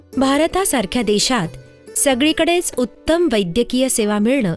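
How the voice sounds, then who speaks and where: A woman's voice with very wide pitch swings, music in the background. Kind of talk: documentary narration. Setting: studio.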